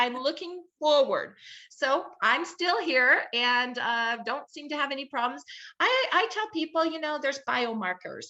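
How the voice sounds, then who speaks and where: With an American accent, a woman speaks fairly slowly in a raised, projected voice, her high pitch, bright, sharp tone, animated delivery and lively intonation all standing out. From Southern California. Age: 60s. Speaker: health advocate, nonprofit founder. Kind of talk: interview testimony.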